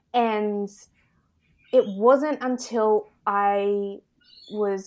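Recorded very cleanly against a silent background, the speaker has an Australian accent and fairly even intonation. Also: woman. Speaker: embodiment and confidence coach. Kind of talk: casual interview chat.

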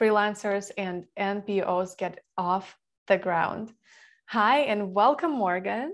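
Speaking at a very slow pace, a woman uses a medium pitch. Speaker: podcast host. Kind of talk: interview.

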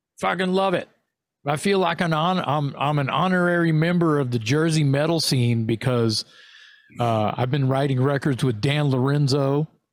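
On a very clean recording with a silent background, the voice has an animated tone, very even loudness, ordinary pitch variation and a moderate pace. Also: man, fairly high pitch for a man. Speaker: heavy metal singer and podcast co-host. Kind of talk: casual chat.

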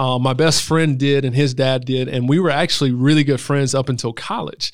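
Speaking with a South Carolina accent, a man talks at a moderate pace, his fairly high pitch showing ordinary variation. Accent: Southern US (South Carolina). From US South, Greenville, South Carolina. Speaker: doctoral student and speaker. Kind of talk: casual interview conversation.

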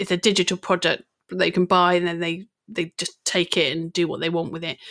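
Recorded very cleanly against a silent background, a woman uses a normal speaking voice at medium pitch and a moderate pace. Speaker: social media business coach. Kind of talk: casual interview chat.

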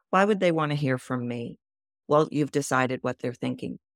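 Captured in a very clean recording with a silent background and a dry, close sound with no echo, a woman with an American accent speaks at a very deep, low pitch with ordinary pitch variation. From Texas. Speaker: voice coach. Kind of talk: podcast interview.

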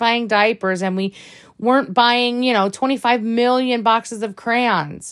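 Here a woman speaks at a moderate pace in an animated tone. The recording is very clean, with a silent background. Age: 30s. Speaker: podcast host and selfie coach. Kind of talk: casual monologue.

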